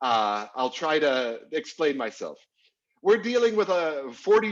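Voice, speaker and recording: Very wide pitch swings from a man speaking at a fairly slow pace. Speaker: legal writing instructor. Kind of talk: online class lecture. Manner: hesitant with fillers and repeats.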